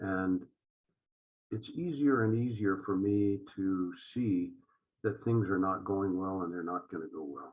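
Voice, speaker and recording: Taking long, frequent pauses, a man talks at a fairly slow pace with a fairly low pitch and ordinary pitch variation. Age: 60s. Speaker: judge. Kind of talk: interview.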